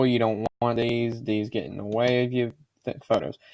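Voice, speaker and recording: At a moderate pace and medium pitch, a man speaks with fairly even intonation, the sound dry and close with no echo. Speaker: YouTuber. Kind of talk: tutorial. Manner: halting.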